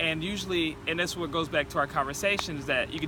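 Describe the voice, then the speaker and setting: Noticeable background noise sits under this clip. A man with an American accent talks very fast in a fairly high voice with fairly even intonation. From North Carolina, near Fayetteville. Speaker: entrepreneur vlogger. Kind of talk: motivational vlog talk. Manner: halting, stuttering.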